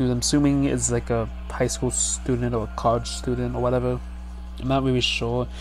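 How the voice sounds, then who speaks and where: Monotone, flat intonation at a moderate pace, with a dry sound, no echo and faint music in the background. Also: man. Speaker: video creator. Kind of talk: casual vlog chat. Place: home room. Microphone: headset.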